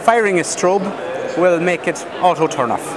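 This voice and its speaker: A man's high-pitched voice at a moderate pace, ordinary pitch variation, a dry sound with no echo, and noticeable background noise. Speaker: exhibitor demonstrating a product. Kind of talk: product demo. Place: hall.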